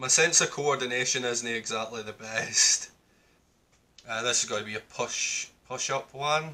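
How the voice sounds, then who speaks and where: Scottish-accented man with a bright, sharp tone, fairly even intonation and a moderate pace. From Scotland. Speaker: gamer. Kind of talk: casual gaming commentary. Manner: frustrated, swearing. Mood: frustrated, swearing. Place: home room.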